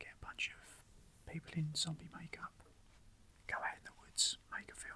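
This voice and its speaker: Someone whispers at a moderate pace. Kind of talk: soft-spoken ASMR talk about personal film memories. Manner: whispered, soft-spoken.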